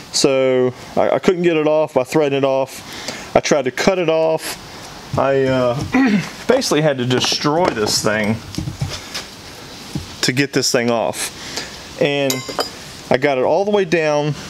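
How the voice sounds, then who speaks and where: Over noticeable background noise, a man talks at a fairly slow pace with long, frequent pauses and ordinary pitch variation. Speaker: plumbing parts seller. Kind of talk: tutorial. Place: workshop.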